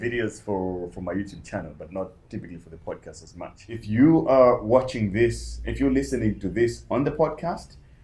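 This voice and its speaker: A man talks with hardly any pauses in a dark, mellow voice with vocal fry, lively intonation and big swings in loudness. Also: fairly low pitch for a man, moderate pace. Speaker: podcast host. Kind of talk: casual podcast interview.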